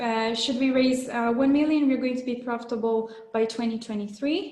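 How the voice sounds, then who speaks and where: A woman with a Portuguese accent speaks at a high pitch with fairly even intonation, with audible room echo around her. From Brazil. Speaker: startup founder. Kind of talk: sales pitch.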